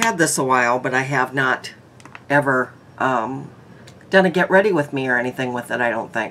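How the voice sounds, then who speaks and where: Over light background noise, a woman with a very deep, low pitch talks at a fairly quick pace, showing ordinary pitch variation and big swings in loudness. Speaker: makeup vlogger. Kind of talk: casual vlog chat. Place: home room. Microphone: phone near.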